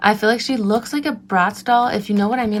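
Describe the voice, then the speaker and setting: A woman's animated voice at a medium pitch, with noticeable background noise. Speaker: beauty and craft vlogger. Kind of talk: casual craft tutorial. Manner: restricted mouth movement, careful speech; chatty, animated.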